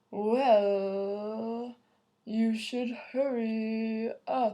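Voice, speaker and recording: This woman uses a put-on character voice. Her pitch sits fairly high. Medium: read story. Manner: slow.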